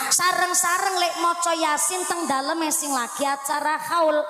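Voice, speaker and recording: Over music in the background and audible room echo, a woman projects an animated, raised voice at an extremely high pitch with ordinary pitch variation. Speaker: female Islamic preacher. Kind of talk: sermon. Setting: stage with audience, PA system. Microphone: echo on the sound system.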